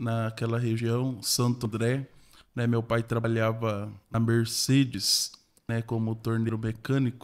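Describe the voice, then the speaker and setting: A man with a medium-pitched voice delivers his words very slowly. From interior of São Paulo state, Brazil. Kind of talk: podcast interview. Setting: studio podcast.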